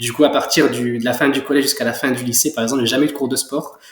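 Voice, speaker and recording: The pace is fairly quick. Intonation remains fairly even throughout. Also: man. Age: 20s. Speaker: young entrepreneur, clothing brand founder. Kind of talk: interview. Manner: hesitant, many fillers.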